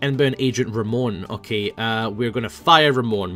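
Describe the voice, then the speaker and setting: Music plays in the background as a man with a Scottish accent speaks at medium pitch and a fairly slow pace, with ordinary pitch variation. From Scotland. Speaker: gaming YouTuber. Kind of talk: casual gameplay commentary.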